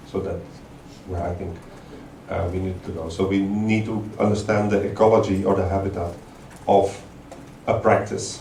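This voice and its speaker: At a moderate pace, a man speaks at a fairly low pitch in a flat monotone. Long, frequent pauses break up his speech, and the room echo is audible. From Belgium. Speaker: artist-researcher. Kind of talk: lecture. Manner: halting, many fillers.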